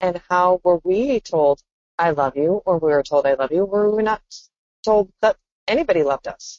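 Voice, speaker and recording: A woman's plain, everyday voice, fairly low in pitch, at a moderate pace with lively intonation. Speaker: podcast co-host. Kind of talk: casual chat.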